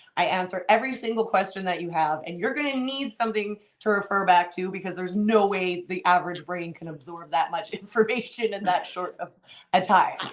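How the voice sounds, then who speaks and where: Over noticeable background noise, a woman with a medium-pitched voice speaks in an animated tone at a fairly quick pace, with ordinary pitch variation and big swings in loudness. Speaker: tarot reader. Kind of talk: casual interview. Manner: fast.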